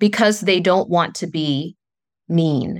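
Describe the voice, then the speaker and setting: A woman with an American accent speaks very slowly at a fairly low pitch, in a dry, close recording with no echo and a silent, very clean background. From US South, southern West Virginia. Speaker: spiritual coach. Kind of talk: interview.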